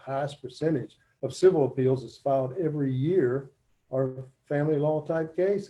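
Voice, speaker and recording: A man with a West Virginia accent speaks at a fairly high pitch in a dark, mellow tone, his intonation fairly even while his loudness swings widely. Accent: Appalachian West Virginia. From West Virginia, Braxton County. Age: 60s. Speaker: judicial candidate, family court judge. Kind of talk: campaign speech at virtual town hall. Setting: video call.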